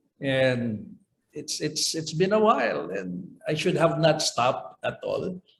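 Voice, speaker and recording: Somewhat breathy, a man talks at a fairly slow pace. His intonation is lively. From Philippines, Davao del Norte. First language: Cebuano (Bisaya). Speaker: sports coordinator, speech contestant. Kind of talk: interview.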